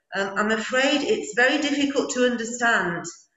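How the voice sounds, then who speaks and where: A woman speaks with music playing behind her. The room gives her voice an audible echo. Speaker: English teacher. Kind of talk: meeting discussion. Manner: slow, articulated; halting.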